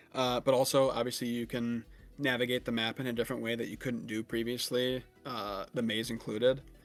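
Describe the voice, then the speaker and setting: A man talks at a medium pitch while music plays in the background. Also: fairly quick pace. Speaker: gaming podcast co-host. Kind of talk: casual chat. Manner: animated; filler-heavy, many ums and likes.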